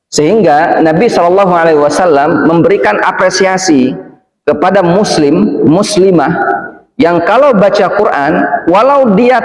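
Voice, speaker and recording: A man speaks with a Palembang accent, his pitch high and his intonation lively. The pace is moderate, and the room echo is audible. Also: very even loudness. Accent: Palembang Indonesian. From Indonesia, Palembang. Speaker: preacher. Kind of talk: sermon. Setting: mosque.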